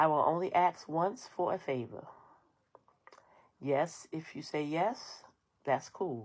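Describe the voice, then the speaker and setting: A woman's very deep, low voice in an American accent, very slow and full of long, frequent pauses, with lively intonation. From New York. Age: 60s. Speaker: social media creator. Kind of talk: personal monologue to viewers. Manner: firm, emphatic.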